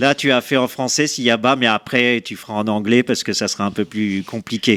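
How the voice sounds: A man's medium-pitched, fairly bright voice at a fairly quick pace, with little pitch movement and a dry, close sound with no echo.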